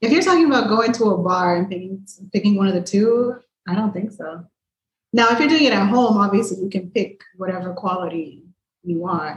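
Speaking fairly quickly with an American accent, a woman has a somewhat breathy, medium-pitched voice with ordinary pitch variation. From Miami, Florida. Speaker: podcast guest. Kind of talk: casual chat. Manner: blunt, talkative.

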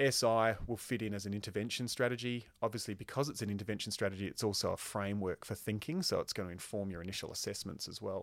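On a very clean recording with a silent background, a man with an Australian accent speaks very fast with hardly any pauses, in a fairly low pitch with ordinary pitch variation. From Queensland, Australia. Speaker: occupational therapy lecturer. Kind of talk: podcast interview.

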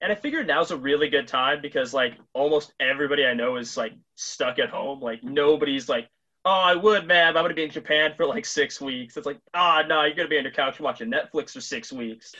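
In an unremarkable speaking voice, a man talks at a fairly quick pace with fairly high pitch and lively intonation. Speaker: podcast host and comic shop owner. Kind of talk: casual interview chat with sponsor reads.

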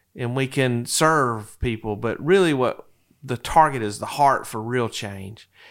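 In an American accent, a man with an unremarkable speaking voice talks at a fairly slow pace, his medium pitch showing ordinary variation. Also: very clean recording, silent background. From Florida Panhandle. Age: 40s. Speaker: Medicare insurance broker. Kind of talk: interview conversation. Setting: office.

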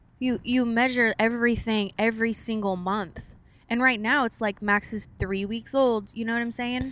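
With an American accent, a woman speaks in a fairly high pitch at a moderate pace and with monotone, flat intonation. The recording is very clean, with a silent background. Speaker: podcast co-host, new mother. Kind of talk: casual chat. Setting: in a car.

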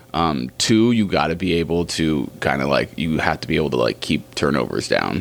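At a moderate pace, a man talks in a very deep, low pitch with vocal fry. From US, Oregon coast. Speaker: basketball skills trainer. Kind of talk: casual interview.

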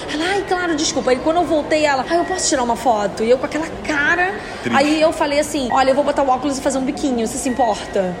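Speaking very fast with hardly any pauses, a woman with a strong carioca accent uses a high pitch and ordinary pitch variation, and the recording has noticeable background noise and audible room echo. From Rio de Janeiro, Baixada Fluminense. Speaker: radio presenter. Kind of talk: casual chat.

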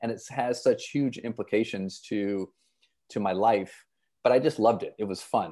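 A man with an American accent and a dark, mellow tone speaks at medium pitch and a moderate pace, with ordinary pitch variation, over a quiet background. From Michigan (Flint), US Midwest. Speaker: leadership coach and improv performer. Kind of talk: interview conversation.

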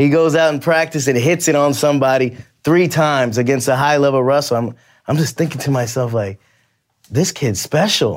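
A man with a normal speaking voice talks at a fairly quick pace, his pitch fairly high with ordinary variation. His loudness stays very even, and the recording is very clean with a silent background. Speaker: translator and coach.

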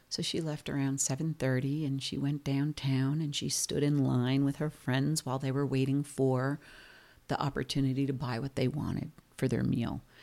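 Spoken in a flat monotone with a New Jersey accent, the voice has a dark, mellow tone on a very clean recording with a silent background. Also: woman, very deep, low pitch for a woman, moderate pace. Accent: New Jersey American. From New Jersey, US. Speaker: B&B and tour company owner, podcast co-host. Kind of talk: casual chat.

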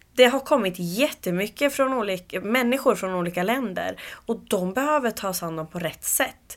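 Over a silent background on a very clean recording, a woman talks at a moderate pace in an unremarkable speaking voice. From Uppsala, Sweden. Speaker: community group founder. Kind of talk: interview.

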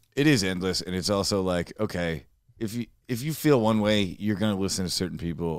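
Talking at a fairly quick pace, a man with an American accent uses lively intonation. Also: very clean recording, silent background. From Dearborn, Michigan, US. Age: 20s. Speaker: podcast guest. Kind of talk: casual chat.

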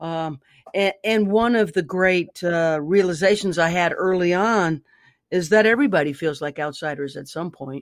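Her pitch fairly low and its variation ordinary, a woman speaks at a moderate pace on a very clean recording with a silent background. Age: 60s. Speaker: singer-songwriter and author. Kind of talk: casual interview. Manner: halting, many fillers.

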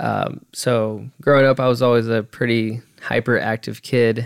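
A man at medium pitch speaks at a fairly slow pace. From Southern California, high desert (Hesperia). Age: 20s. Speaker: podcast host, musician and audio engineer. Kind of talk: casual solo monologue. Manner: halting, many fillers and repetitions.

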